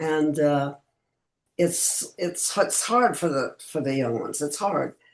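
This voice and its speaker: A woman speaks at a very slow pace in a very deep, low pitch, with vocal fry. Her intonation is lively. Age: 80s+. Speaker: actress. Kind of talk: interview answer.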